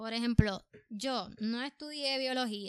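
A woman with a Puerto Rican accent, fairly high in pitch, with ordinary pitch variation. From Puerto Rico. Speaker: artist, painter. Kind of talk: casual chat. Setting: studio.

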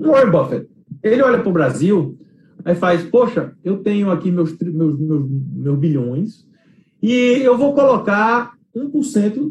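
A man's high voice with very wide pitch swings, at a fairly slow pace. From Brazil, Recife. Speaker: investment manager. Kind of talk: interview. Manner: halting, many repetitions.

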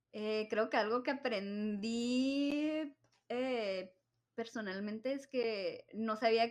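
Pitched fairly high, a woman speaks at a very slow pace with ordinary pitch variation. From Nogales, Arizona–Sonora border. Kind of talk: casual chat.

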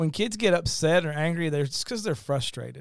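Talking at a fairly quick pace, a man shows ordinary pitch variation. He has a Southern US accent. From Kentucky. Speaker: pastor. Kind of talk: casual chat.

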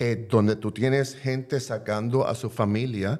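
A man's medium-pitched voice with a dark, mellow tone and fairly even intonation, at a moderate pace, on a very clean recording with a silent background. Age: 60s. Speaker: advocacy organization director. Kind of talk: panel discussion.

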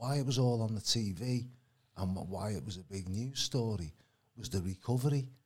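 Somewhat breathy, a man talks in a fairly low voice. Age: 60s. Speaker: alternative healing practitioner. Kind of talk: casual chat.

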